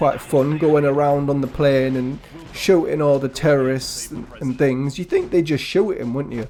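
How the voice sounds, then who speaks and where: Music in the background under speech with ordinary pitch variation. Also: man. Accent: English. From England. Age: 70s. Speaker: gaming youtuber. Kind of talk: casual chat. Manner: halting.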